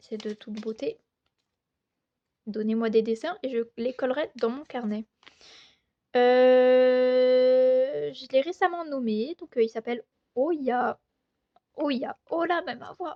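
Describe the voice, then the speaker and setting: A woman speaks at a very slow pace with a high pitch, leaving long, frequent pauses. Her loudness swings widely from moment to moment. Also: ordinary pitch variation. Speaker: artist showing sketchbook. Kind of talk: casual chat. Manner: hesitant, many fillers.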